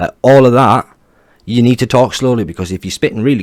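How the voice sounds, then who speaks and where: Talking at a fairly quick pace, a man is heard. The variation in his pitch is ordinary. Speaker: self-improvement commentator. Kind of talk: video commentary. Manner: casual.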